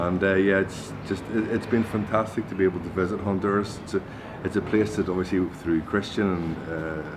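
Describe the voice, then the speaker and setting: A man with a Belfast accent talks fairly quickly at a very deep, low pitch. His intonation is monotone and flat, with noticeable background noise behind him. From Northern Ireland, Belfast. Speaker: cigar importer hospitality head. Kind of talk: interview.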